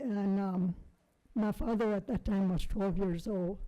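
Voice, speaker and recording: Speaking at a fairly slow pace, a woman has a dark, mellow tone. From South Texas. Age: 80s+. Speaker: painter. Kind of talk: life story talk. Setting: presentation with audience. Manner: halting.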